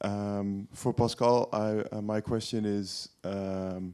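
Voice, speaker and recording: A man with a fairly low pitch and a dark, mellow tone. The recording is very clean, with a silent background. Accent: Dutch. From Netherlands, Hilversum. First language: Dutch. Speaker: audience member. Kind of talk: audience question. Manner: halting.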